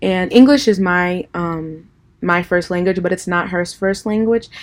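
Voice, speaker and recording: A woman speaks at medium pitch and a moderate pace with ordinary pitch variation. The recording is very clean, with a silent background. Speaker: college student. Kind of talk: video blog for class assignment. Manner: hesitant with frequent ums.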